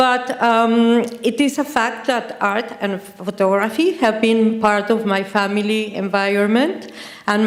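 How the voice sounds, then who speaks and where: A woman with a non-native accent, fairly high-pitched, speaking at a fairly slow pace with ordinary pitch variation and audible room echo. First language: Spanish. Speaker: artist and photographer. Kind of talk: lecture. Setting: stage with audience. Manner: halting.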